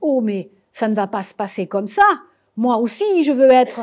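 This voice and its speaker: A woman puts on a character voice with a fairly high pitch. She speaks at a moderate pace. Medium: read story. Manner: eager, insistent.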